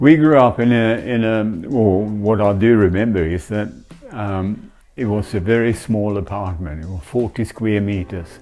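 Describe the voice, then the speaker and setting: With music playing behind him, a man speaks at a moderate pace in a fairly low pitch with ordinary pitch variation. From Sweden, Stockholm. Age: 80s+. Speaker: interviewee. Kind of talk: interview.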